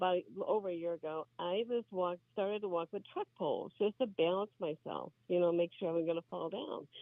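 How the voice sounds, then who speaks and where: Hardly any pauses break up the delivery, which runs at a fairly quick pace. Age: 60s. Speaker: patient. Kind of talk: testimony. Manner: halting.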